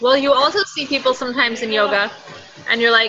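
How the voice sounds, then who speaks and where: A woman speaks with a high pitch and ordinary pitch variation. Noticeable background noise runs behind her. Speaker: participant on business call. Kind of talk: casual group call.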